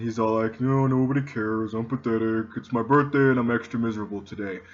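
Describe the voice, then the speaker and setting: Doing a cartoonish character voice, a man rattles along at a very fast pace and medium pitch. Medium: puppet. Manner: depressed, mopey.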